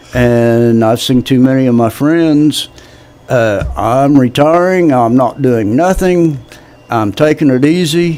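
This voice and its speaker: A man speaks at a very slow pace, with medium pitch and ordinary pitch variation. His loudness stays very even, and background noise is noticeable. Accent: American. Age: 70s. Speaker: political candidate. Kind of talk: interview.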